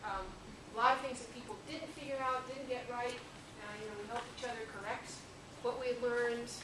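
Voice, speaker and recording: A woman with a high pitch talks at a fairly quick pace, with audible room echo and noticeable background noise. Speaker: professor. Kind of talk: class introduction. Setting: classroom. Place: classroom. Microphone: camera far.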